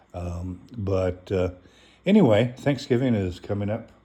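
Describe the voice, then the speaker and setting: A somewhat breathy male voice, dark and mellow in tone, unhurried at a fairly slow pace. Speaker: channel host presenting on a holiday topic. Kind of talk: informal talk reading from a source. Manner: many fillers and hesitations.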